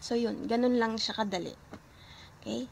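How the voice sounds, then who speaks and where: Fairly high pitch from a woman, varying in an ordinary way. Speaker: language teacher. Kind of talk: tutorial. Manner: slow.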